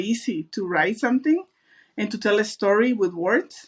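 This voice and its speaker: A woman with a strong Mexican accent at a fairly slow pace. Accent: thick Mexican Spanish. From Mexico. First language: Spanish. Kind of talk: casual interview.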